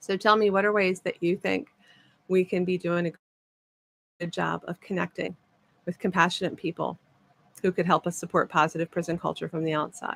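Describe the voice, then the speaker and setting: A woman's fairly low, vocal-fried voice at a fairly quick pace, with fairly even intonation and long, frequent pauses, in a dry, close recording with no echo. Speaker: podcast host and prison ministry advocate. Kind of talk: podcast monologue recorded during a livestream. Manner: fast.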